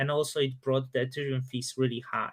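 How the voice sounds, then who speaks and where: Bright and sharp in tone, a man speaks at a moderate pace with fairly even intonation. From Poland. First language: Polish. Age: 30s. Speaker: crypto YouTuber. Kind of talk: live stream Q&A. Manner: casual, hesitant with fillers.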